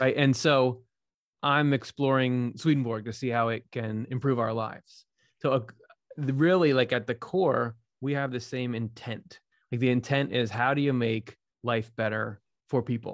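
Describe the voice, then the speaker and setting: The pace is moderate and the intonation fairly even. It is a normal speaking voice. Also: man, medium pitch for a man. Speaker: Swedenborg scholar and YouTube host. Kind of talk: casual interview conversation.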